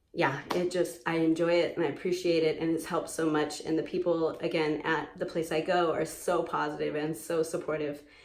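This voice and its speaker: The voice runs at a fairly quick pace with hardly any pauses, a monotone, flat intonation and very even loudness, over noticeable background noise and audible room echo. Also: woman, fairly low pitch for a woman. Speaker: vlogger recovering from knee surgery. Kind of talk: personal video diary. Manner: halting, many fillers.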